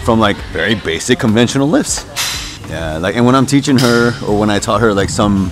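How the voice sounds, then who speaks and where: Clear music plays behind a man speaking fairly quickly at a fairly low pitch with ordinary pitch variation, the sound dry with no echo. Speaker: lifting coach partner. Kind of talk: casual vlog chat. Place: gym.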